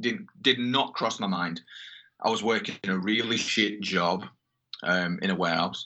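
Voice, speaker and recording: A man's fairly low voice with a Yorkshire accent. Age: 20s. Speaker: metal band guitarist. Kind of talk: casual chat.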